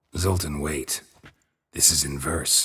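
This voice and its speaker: A man puts on a raspy character voice with very deep, low pitch. His tone is deadpan. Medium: video game. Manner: terse, deadpan.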